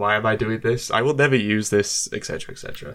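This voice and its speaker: Speaking very fast with an English accent, a man keeps his medium-pitched intonation fairly even. The recording is very clean and the background silent. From UK. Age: 20s. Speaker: YouTuber. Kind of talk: casual chat.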